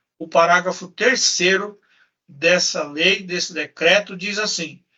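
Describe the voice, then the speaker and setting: Speaking at a very slow pace, a man keeps his high pitch in fairly even intonation. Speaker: lawyer. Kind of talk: lecture. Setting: live stream.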